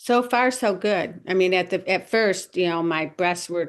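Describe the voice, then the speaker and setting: This woman has a normal speaking voice, fairly low in pitch, talking at a moderate pace against a quiet background. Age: 60s. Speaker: client. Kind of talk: consultation.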